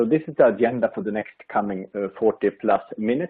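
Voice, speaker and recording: Speaking at a fairly quick pace, a man with a Swedish accent holds a medium pitch with ordinary pitch variation. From Sweden. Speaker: industry expert presenter. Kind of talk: webinar presentation. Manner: halting, many fillers.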